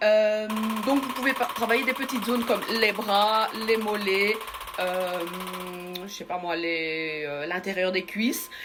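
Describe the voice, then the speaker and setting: Music plays in the background as a woman with a fairly high pitch and lively intonation speaks at a very slow pace. Long, frequent pauses break up her speech amid audible room echo. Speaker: beauty salon owner. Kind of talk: product demonstration. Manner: halting; loud. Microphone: far from the mic.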